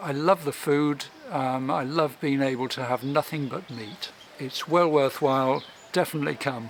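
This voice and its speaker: Someone with an English accent speaks with ordinary pitch variation over noticeable background noise. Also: man, fairly high pitch for a man, moderate pace. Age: 60s. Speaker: doctor. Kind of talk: testimonial interview.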